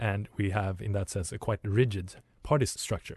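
Speaking at a fairly slow pace, a man sounds somewhat breathy over a quiet background. The sound is dry and close, with no echo. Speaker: radio host. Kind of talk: radio DJ patter, station ID and song back-announcing. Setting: studio. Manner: brisk, chatty, upbeat.

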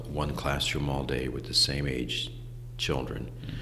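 A man with a Midwestern American accent at a fairly slow pace, amid noticeable background noise and audible room echo. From Ohio, Lakewood near Cleveland. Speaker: school founder and educator. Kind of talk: casual interview. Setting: in person, Lakewood Ohio.

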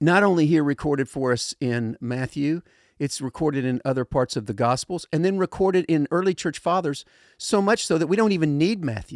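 In a very clean recording with a silent background and a dry, close sound with no echo, a man with a fairly high pitch speaks at a moderate pace with lively intonation. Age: 60s. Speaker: pastor. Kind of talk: casual chat about scripture. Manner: halting.

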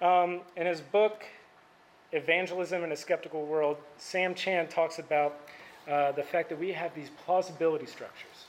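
A man speaks at a high pitch and a moderate pace. His intonation is monotone and flat. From Indiana, Indianapolis area. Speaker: campus ministry staff speaker. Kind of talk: sermon. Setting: stage with audience. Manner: soft-spoken.

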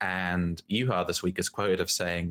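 Recorded very cleanly against a silent background, a man speaks with a very deep, low pitch and ordinary pitch variation. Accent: New Zealand. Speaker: podcast co-host. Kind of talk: casual chat.

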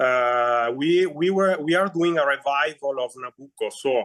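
A man speaks with an Italian accent in a fairly high voice, using ordinary pitch variation. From Northern Italy. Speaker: opera singer. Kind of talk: interview conversation. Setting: video call. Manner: halting.

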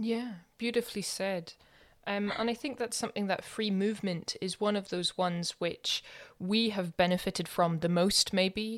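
In a Scottish accent, a woman speaks at medium pitch and a moderate pace with fairly even intonation, on a very clean recording with a silent background. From Scotland. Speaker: podcast host. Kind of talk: casual chat.

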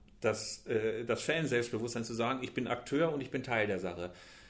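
With audible room echo, a man of medium pitch talks at a moderate pace with ordinary pitch variation. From Germany, Bielefeld (East Westphalia). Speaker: football magazine editor. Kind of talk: casual interview. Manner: hesitant with many fillers.

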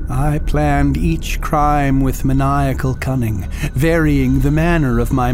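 A man's voice over noticeable background noise. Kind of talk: literary horror reading. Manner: slow, dramatic, gothic intonation.

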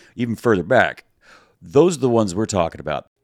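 The recording is very clean, with a silent background and a dry, close sound free of echo. The speaker has an American accent. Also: man. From US South. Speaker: podcast co-host. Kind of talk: casual chat.

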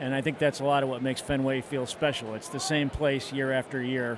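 A man's fairly high voice against noticeable background noise. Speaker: baseball fan. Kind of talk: interview. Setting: ballpark stands.

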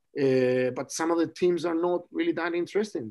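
A man with a Spanish accent talks at a fairly quick pace. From Chile. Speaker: rugby scrum coach. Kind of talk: casual interview chat.

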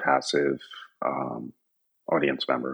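A man speaks in a US Northeastern accent. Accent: US Northeast. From upstate New York. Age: 50s. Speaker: graphic designer and design professor. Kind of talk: casual interview. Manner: casual, filler-heavy.

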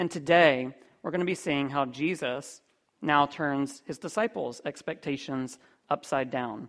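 Speech comes at a fairly slow pace against a quiet background. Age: young. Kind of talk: sermon.

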